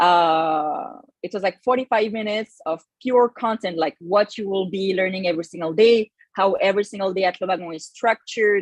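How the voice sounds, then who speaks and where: A woman with a French accent speaks at a fairly quick pace in a medium pitch, her intonation fairly even and the sound dry and close with no echo. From France. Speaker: bootcamp manager. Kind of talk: online info session presentation. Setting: livestream on Zoom and YouTube. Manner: hesitant, many fillers.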